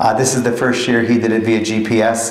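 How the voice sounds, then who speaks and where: Audible room echo surrounds speech at a moderate pace. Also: man. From Pennsylvania. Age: 50s. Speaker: grocery and restaurant manager; guest. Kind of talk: guest lecture. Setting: college lecture with student audience. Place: classroom. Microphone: podium.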